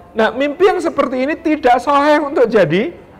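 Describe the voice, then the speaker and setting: A man with lively intonation moves along at a fairly quick pace as noticeable background noise plays. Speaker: Islamic preacher. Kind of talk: sermon.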